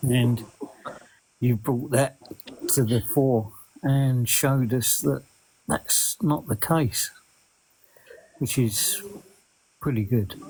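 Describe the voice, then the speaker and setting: With an English accent, a man at medium pitch speaks at a very slow pace with long, frequent pauses, sounding somewhat breathy, his pitch varying in an ordinary way and his loudness very even. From Essex, England. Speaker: viewer calling into a live stream. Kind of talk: casual chat.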